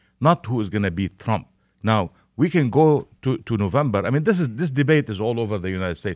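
The recording is very clean and dry, close with no echo, and the background is silent. A man talks at a fairly quick pace with lively intonation. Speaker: newspaper publisher. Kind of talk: radio panel discussion. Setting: studio. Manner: halting, repeats words.

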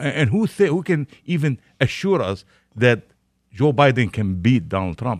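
Very wide pitch swings in a man's speech. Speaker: newspaper publisher. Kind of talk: radio panel discussion. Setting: studio. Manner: halting, repeats words.

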